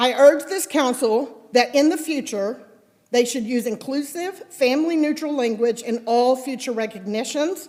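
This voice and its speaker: Loud and high-pitched, a woman talks with an American accent. She keeps a fairly slow pace. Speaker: resident speaking at public comment. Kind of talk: public comment at council meeting, reading prepared remarks. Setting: city council chamber, at podium. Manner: very loud.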